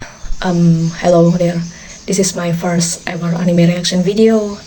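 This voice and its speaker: A woman with a non-native accent speaks fairly slowly in a fairly low, monotone, flat voice, with audible room echo and noticeable background noise. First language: not English. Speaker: anime reaction streamer. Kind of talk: casual reaction commentary. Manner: halting.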